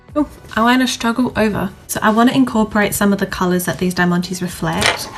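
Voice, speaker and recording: With music in the background, a woman speaks at medium pitch with ordinary pitch variation. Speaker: beauty vlogger. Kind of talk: makeup tutorial chat. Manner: stutters when naming products.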